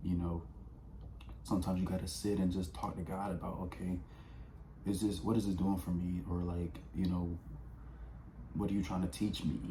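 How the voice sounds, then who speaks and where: A man talks with a very deep, low pitch and ordinary pitch variation. Room echo is audible, along with noticeable background noise. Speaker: vlogger. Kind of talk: casual motivational talk. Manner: fast.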